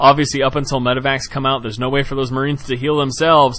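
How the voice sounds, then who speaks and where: An enthusiastic tone over noticeable background noise. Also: man. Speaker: game commentator. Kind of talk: esports game commentary. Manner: enthusiastic, fast-paced.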